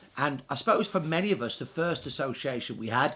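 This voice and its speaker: Speaking at a moderate pace, a man uses lively intonation and a bright, sharp tone in a very clean recording with a silent background. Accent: Birmingham. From Birmingham, England. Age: 60s. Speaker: historian. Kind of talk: interview.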